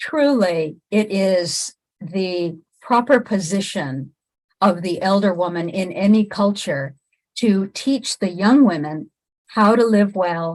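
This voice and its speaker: Intonation rises and falls in a lively way. The woman talks at a very slow pace. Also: medium pitch for a woman. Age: 60s. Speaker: relationship coach. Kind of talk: monologue to camera.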